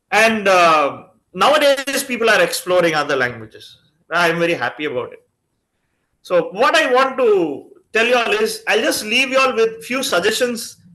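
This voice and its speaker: With a Tamil accent, a man speaks at a moderate pace in a raised, projected voice. His pitch is high with very wide swings, and his tone is bright and sharp. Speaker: chief guest speaker. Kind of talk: talk to a student reading group. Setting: video call.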